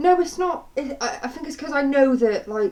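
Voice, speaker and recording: A woman with an English accent, very wide pitch swings and noticeable background noise. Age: 20s. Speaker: vlogger. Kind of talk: personal testimony. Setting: home. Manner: halting; shaky voice.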